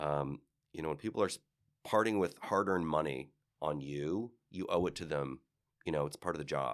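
Pausing long and often, a man with an American accent speaks at a moderate pace in a very deep, low voice with vocal fry and ordinary pitch variation, in a very clean recording with a silent background. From Cleveland, Ohio. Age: 50s. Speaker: actor and style commentator. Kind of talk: interview. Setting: studio.

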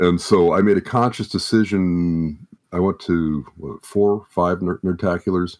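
A man's very deep, low voice with an American accent, fairly slow pace and fairly even intonation, dry and close with no echo on a very clean recording with a silent background. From Southern California (Anaheim area). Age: 70s. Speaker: retired tech worker, parent. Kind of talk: interview conversation. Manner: halting, many fillers.

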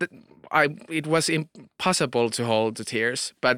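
A man with a Finnish accent and a bright, sharp tone speaks with ordinary pitch variation, the sound dry and close with no echo on a very clean recording with a silent background. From Finland. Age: 30s. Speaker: author. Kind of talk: casual chat. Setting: studio.

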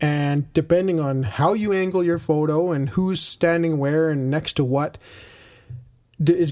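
In a very clean recording with a silent background, a man with a fairly high pitch and a dark, mellow tone speaks with ordinary pitch variation. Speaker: board game podcaster. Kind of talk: casual chat with co-host.

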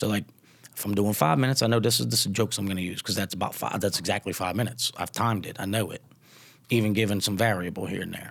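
A man with a Louisiana accent talks at a very fast pace, his fairly low voice showing ordinary pitch variation. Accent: Southern US Louisiana twang. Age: 30s. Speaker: stand-up comedian. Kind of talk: casual chat. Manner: laid-back, casual.

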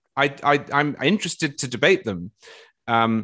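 Over a quiet background, a man with an English accent talks at a moderate pace in a fairly high pitch that swings very widely. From England. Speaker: political writer and podcast co-host. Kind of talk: panel discussion.

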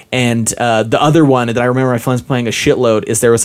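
A plain, everyday voice from a man with an American accent, medium pitch and fairly even intonation. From Utah. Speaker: podcast guest, gamer friend. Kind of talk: casual chat.

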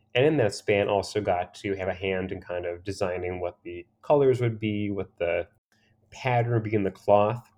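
With an American accent, a man speaks at a moderate pace in an ordinary speaking voice, fairly low in pitch with ordinary pitch variation. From Pennsylvania, small former coal mining town. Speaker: menswear and drinks writer. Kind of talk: casual interview.

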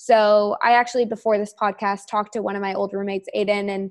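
Speaking at a very fast pace, a woman talks in a medium pitch. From Canada, Toronto. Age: 20s. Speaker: brand marketing professional. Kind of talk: casual interview chat.

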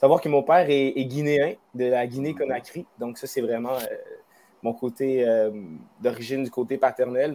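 A man speaks at a moderate pace in a dark, mellow tone with medium pitch. His intonation stays fairly even. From Wendake, Quebec. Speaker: musician. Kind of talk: interview. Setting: live stream.

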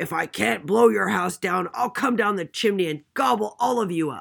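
Using a growling, put-on character voice, a woman speaks at a medium pitch. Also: moderate pace. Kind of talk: bedtime story. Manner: menacing, gloating.

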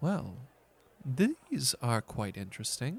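A man's put-on character voice at a slow pace and medium pitch, with very wide pitch swings and a slightly husky edge

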